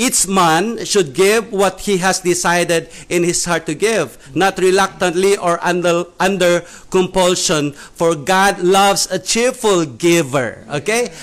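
A man with a Filipino accent speaks at a fairly slow pace in a high voice, his loudness very even and his pitch varying in an ordinary way. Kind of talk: casual church discussion. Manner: halting, hesitant.

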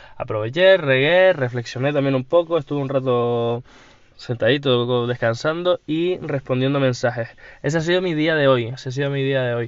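Moderate pacing and ordinary pitch variation in a man's fairly high voice. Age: 20s. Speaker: entrepreneur podcaster. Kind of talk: solo diary podcast. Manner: hesitant, repeats words.

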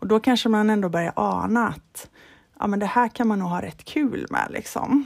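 Using a normal speaking voice, a woman talks at a moderate pace with fairly high pitch and ordinary pitch variation. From Sweden, Halland (Falkenberg). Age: 40s. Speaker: golf club manager, former touring golf pro. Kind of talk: casual interview. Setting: remote call.

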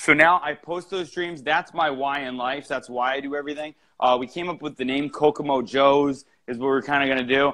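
A man's fairly high voice at a fairly quick pace. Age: 30s. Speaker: entrepreneur and middle school teacher. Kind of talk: casual interview chat. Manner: animated.

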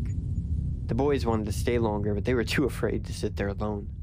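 Over noticeable background noise, a man with a fairly low voice speaks in a dramatic tone at a fairly quick pace. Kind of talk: horror story narration, read aloud. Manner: tense, hushed and building dread; measured, dramatic pacing.

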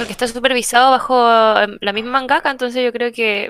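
In a Chilean accent, a woman speaks at a high pitch with a bright, sharp tone. The sound is dry and close with no echo. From northern Chile (Iquique). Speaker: podcast panelist. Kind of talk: casual chat.

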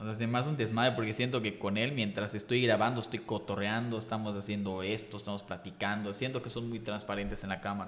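With a fairly low pitch and monotone, flat intonation, a man speaks at a very fast pace with hardly any pauses. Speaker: content creator. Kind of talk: casual chat.

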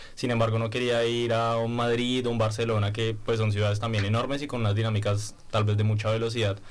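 Music plays in the background as the voice rushes along at a very fast pace with hardly any pauses, very even loudness, monotone, flat intonation and audible room echo. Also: man, medium pitch for a man. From Bogotá, Colombia. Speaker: master's student, sociologist. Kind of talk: radio panel discussion.

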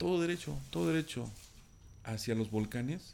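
At medium pitch, a man speaks with lively intonation at a moderate pace. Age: 40s. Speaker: storyteller guest. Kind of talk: personal anecdote telling. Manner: halting, many fillers and repetitions.

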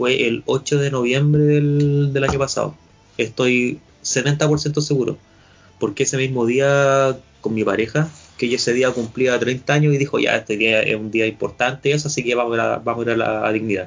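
Music plays in the background as a man speaks at a moderate pace and medium pitch. His loudness stays very even, with fairly even intonation. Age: 20s. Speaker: podcast host. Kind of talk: casual chat. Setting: video call.

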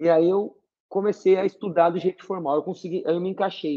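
A man with a high-pitched voice speaks at a fairly quick pace. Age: 50s. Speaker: naturopath and university professor. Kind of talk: casual interview chat.

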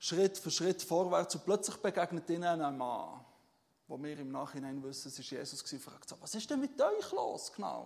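A man speaks in a normal speaking voice at fairly high pitch. His pace is moderate. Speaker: pastor. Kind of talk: sermon. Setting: church stage with audience. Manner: relaxed, conversational and informal, with many filler sounds and self-corrections; warm and humble, with humorous asides and a personal tone.

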